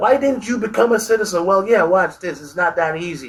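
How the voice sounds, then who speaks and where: His intonation rises and falls in a lively way. The speaker is a man. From Jamaica. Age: 60s. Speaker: army veteran. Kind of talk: interview answer.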